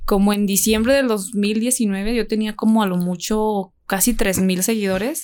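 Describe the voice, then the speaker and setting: A woman with a normal speaking voice speaks at a fairly slow pace and a fairly high pitch, with fairly even intonation and very even loudness. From Jerez, Zacatecas, Mexico. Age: 20s. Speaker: university student and social media personality. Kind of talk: casual chat.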